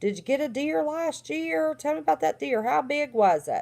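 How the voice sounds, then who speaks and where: With a Southern accent and high pitch, a woman speaks at a fairly slow pace with very wide pitch swings on a very clean recording with a silent background. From West Virginia. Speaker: livestream host, former therapist. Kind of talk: casual livestream monologue.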